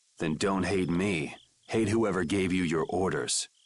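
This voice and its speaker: A put-on, growling character voice moves at a moderate pace with fairly even intonation. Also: man, very deep, low pitch for a man. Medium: video game. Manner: calm, clipped.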